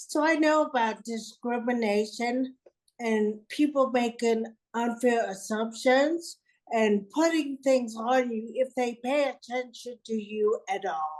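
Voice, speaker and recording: A woman talks at a high pitch and a very slow pace. Her pitch variation is ordinary. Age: 60s. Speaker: bishop. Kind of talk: panel discussion. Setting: video call.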